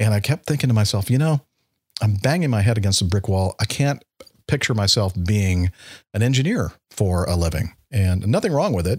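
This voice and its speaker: A man with a fairly low, somewhat breathy voice talks at a fairly quick pace. His intonation is lively. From US (California, later Alabama). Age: 60s. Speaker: airline pilot. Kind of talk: casual interview chat.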